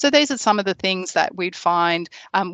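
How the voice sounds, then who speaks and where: Against a quiet background, a woman with an Australian accent speaks at a medium pitch and a fairly quick pace, the sound dry and close with no echo. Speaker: product specialist. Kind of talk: webinar presentation. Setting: online webinar. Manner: hesitant with many fillers.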